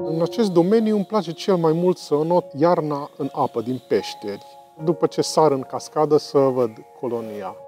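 Over clear music in the background, a man with a fairly high pitch and lively intonation talks at a moderate pace in a dry sound with no echo. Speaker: bat biologist. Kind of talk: interview answer. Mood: calm, friendly, informative. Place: tunnel cave. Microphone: lapel.

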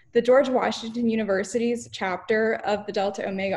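Her speech, moderate in pace, carries fairly even intonation. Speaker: student society president hosting the webinar. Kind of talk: webinar introduction. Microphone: video call.

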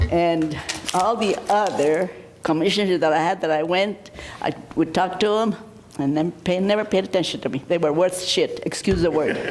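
Over noticeable background noise, a woman talks at a moderate pace in a medium pitch, with ordinary pitch variation and very even loudness. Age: 80s+. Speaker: citizen speaking at public meeting. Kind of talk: public comment at county meeting. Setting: county commission meeting room. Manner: halting, with restarts.

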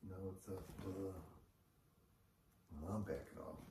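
Soft-spoken and very deep in pitch, a man talks over noticeable background noise. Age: old. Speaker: vlogger and retired investor; retiree vlogger. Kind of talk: casual monologue vlog. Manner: hesitant, many fillers. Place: home room. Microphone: camera far.

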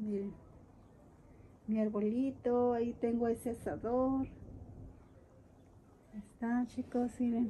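A woman's fairly high voice, dark and mellow in tone, at a slow pace with fairly even intonation and long, frequent pauses

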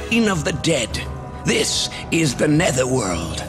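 A man's put-on character voice at a slow pace, with very wide pitch swings and clear music in the background. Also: fairly high pitch for a man.

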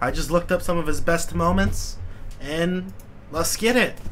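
Amid light background noise, a man speaks at a moderate pace. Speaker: YouTube reaction creator. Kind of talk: casual reaction commentary. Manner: excitable, swearing, laughing a lot. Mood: amused, laughing. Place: home room.

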